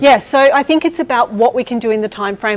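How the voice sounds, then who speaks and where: This woman has a fairly high pitch. She speaks at a fairly quick pace. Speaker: design consultant. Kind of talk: conference talk; audience Q&A. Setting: stage with audience.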